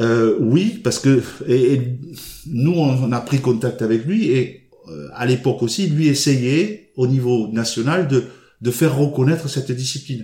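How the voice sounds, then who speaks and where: A man's somewhat breathy, dark, mellow voice at medium pitch, with ordinary pitch variation and a fairly slow pace. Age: 60s. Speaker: badminton player and regional sports official. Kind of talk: casual interview.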